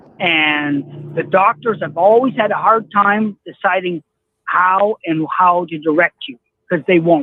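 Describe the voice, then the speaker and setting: With a Canadian accent, a man talks very slowly at a high pitch with ordinary pitch variation. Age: 60s. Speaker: caller. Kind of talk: casual chat.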